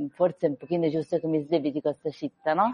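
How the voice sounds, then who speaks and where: The voice belongs to a woman and sits fairly low. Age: 40s. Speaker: author of a memoir about surviving an accident. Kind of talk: radio interview.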